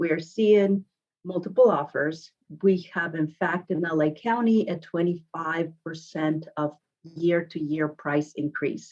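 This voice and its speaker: A woman with a Mexican accent speaks at a fairly slow pace, her fairly low pitch showing ordinary pitch variation. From Mexico, Guadalajara. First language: Spanish. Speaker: realtor. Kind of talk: podcast interview.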